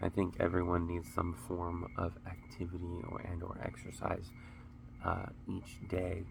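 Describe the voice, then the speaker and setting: A man's very deep, low, somewhat breathy voice carries monotone, flat intonation and audible room echo. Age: 30s. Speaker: vlogger, dancer and Marine Corps veteran. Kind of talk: casual vlog talk to camera. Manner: halting, repeats words.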